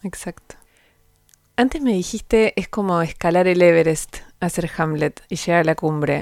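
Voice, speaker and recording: A woman with an Argentine accent, fairly low in pitch and fairly slow, in a dry, close sound with no echo. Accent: Rioplatense Argentine Spanish. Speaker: podcast host and interviewer. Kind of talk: interview.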